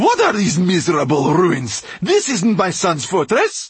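A man's put-on character voice, high-pitched with very wide pitch swings and a husky, rough edge, delivered at a fairly slow pace

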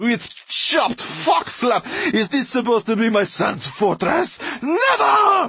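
A man's put-on character voice, extremely high-pitched with big pitch swings, bright and sharp with a husky, rough edge and vocal fry, at a slow pace.

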